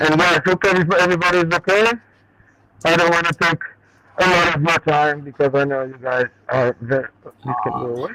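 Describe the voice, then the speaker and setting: Loud and high-pitched, a man talks at a fairly quick pace with long, frequent pauses, his sound dry and close with no echo amid noticeable background noise. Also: ordinary pitch variation. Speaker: home grower showing his garden. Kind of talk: casual chat on video call.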